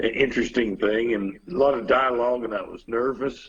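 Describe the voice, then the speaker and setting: The speaker has a strong Texas accent. The pace is moderate. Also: man. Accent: strong Texas Southern. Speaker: musician. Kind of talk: casual chat.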